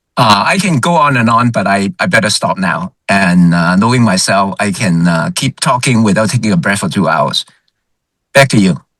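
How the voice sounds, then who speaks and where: A loud man with a fairly low pitch speaks in very wide pitch swings. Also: moderate pace. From Hong Kong. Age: 70s. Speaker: retired healthcare executive. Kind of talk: webinar discussion.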